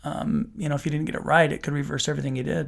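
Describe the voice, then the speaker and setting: In a Utah accent, a man speaks in a fairly high voice with ordinary pitch variation on a very clean recording with a silent background. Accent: American, Utah. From Utah, Salt Lake City. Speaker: juvenile court judge. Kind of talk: podcast interview.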